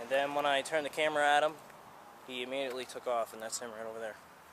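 Over noticeable background noise, a man talks at a very fast pace with fairly even intonation, the sound dry with no echo. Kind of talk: casual vlog commentary. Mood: wary, slightly suspicious. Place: street. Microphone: phone near.

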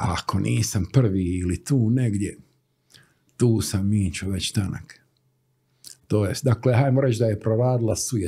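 Over a quiet background, a man talks at a fairly slow pace with long, frequent pauses. His voice is fairly low, dark and mellow, somewhat breathy, with ordinary pitch variation. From Bosnia and Herzegovina, Stolac; Bosnia and Herzegovina. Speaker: graphic designer; interview guest. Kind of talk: interview. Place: studio. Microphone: studio mic.

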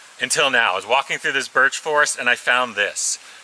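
Light background noise can be heard. A male voice moves along at a moderate pace. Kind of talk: casual vlog chat. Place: forest.

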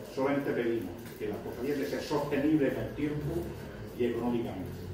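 A man talks at a moderate pace and a medium pitch. Strong room echo and noticeable background noise surround his voice. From Spain, Lorca (Murcia). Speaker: newly elected brotherhood president. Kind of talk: acceptance speech. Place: hall. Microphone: camera far.

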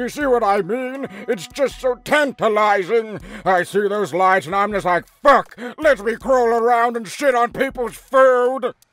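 A man's put-on character voice at an extremely high pitch, delivered at a moderate pace. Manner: flippant, excitable, carefree.

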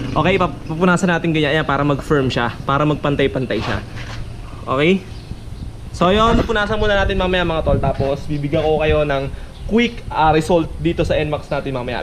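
Noticeable background noise sits behind this man's voice. He talks at a moderate pace with ordinary pitch variation. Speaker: motovlogger. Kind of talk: casual tutorial vlog chat. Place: garage. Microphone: phone near.

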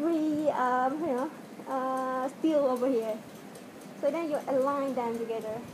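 A woman with a non-native accent speaks fairly slowly with a high pitch and fairly even intonation. Noticeable background noise is present. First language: not English. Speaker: video tutorial maker. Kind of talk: tutorial. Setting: home video, speaking to camera wearing a mask. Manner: halting, hesitant with many fillers. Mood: hesitant, apologetic. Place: home room. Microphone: webcam.

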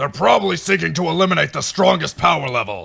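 A man puts on a cartoonish character voice, bright and sharp in tone with a slightly husky edge and vocal fry, at a fairly high pitch. His intonation is lively and his pace fast.

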